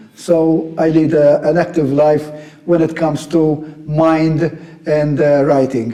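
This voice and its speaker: Over noticeable background noise, a man with a fairly high pitch talks at a very slow pace in a monotone, flat intonation, his loudness very even. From Malta, Vittoriosa. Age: 60s. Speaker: militaria collector and historian. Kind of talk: interview.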